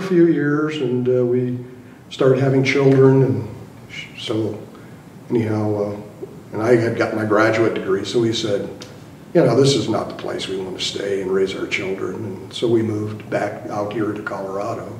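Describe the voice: A man's fairly low voice, slightly mellow in tone, at a moderate pace with audible room echo.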